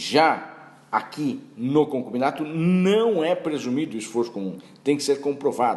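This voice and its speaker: Lively intonation marks this man's plain, everyday voice. He speaks at a fairly slow pace. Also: fairly high pitch for a man. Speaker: law professor. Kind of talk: lecture.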